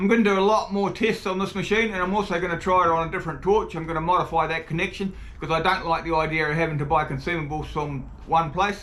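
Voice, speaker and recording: A man with a New Zealand accent talks at a very fast pace in a high pitch. His intonation is fairly even, and audible room echo surrounds the voice. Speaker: tool reviewer, video creator. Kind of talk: product review demo.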